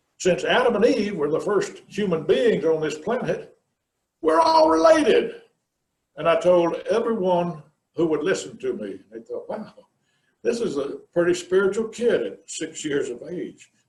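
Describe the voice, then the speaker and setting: In an American accent, a man talks at a fairly slow pace with big swings in loudness and audible room echo. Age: 60s. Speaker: minister. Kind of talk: sermon.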